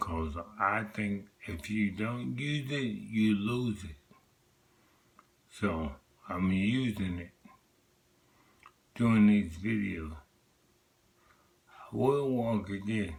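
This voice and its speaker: A man with a fairly low pitch and ordinary pitch variation talks at a very slow pace, with long, frequent pauses and big swings in loudness. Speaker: vlogger with multiple sclerosis. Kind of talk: personal vlog monologue. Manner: slurred; determined, motivational.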